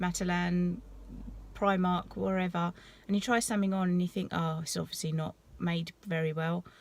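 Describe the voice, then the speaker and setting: A woman with a British accent speaks in a fairly low voice. Her intonation is monotone and flat, and her pace is moderate. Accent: English (UK). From southeast England, East Sussex coast. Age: 30s. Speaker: vlogger. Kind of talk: casual vlog talk. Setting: at the gym. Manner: casual, hesitant with many ums.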